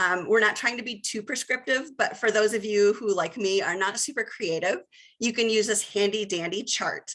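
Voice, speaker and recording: At a moderate pace, a woman with a fairly high pitch and ordinary pitch variation talks in a normal speaking voice. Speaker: researcher and presenter. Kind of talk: webinar presentation. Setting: video call.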